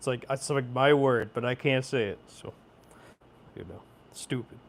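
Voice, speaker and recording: A man with an American accent at medium pitch and moderate pace, fairly even intonation but big swings in loudness, very clean recording with a silent background. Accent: rural Oregon accent, comes out sometimes. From rural Oregon. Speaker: sewing livestreamer. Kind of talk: casual livestream chat.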